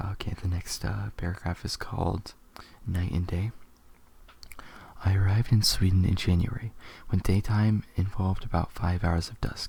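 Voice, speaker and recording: A soft-spoken man with a very deep, low, dark and mellow voice, somewhat breathy and monotone, with long, frequent pauses. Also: moderate pace. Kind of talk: ASMR soft-spoken article reading.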